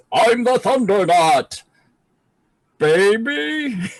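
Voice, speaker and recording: A man puts on a character voice. He pitches it high. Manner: heroic, over-the-top.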